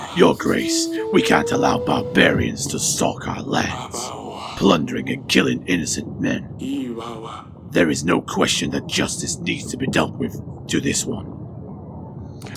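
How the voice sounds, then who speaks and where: Over clear background noise, a man uses a put-on character voice with a fairly low pitch at a fairly slow pace. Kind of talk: comedic game voice-over.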